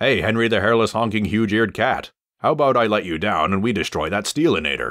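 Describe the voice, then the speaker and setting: A man performs a put-on character voice at medium pitch. He rattles along at a very fast pace. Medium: voice reel.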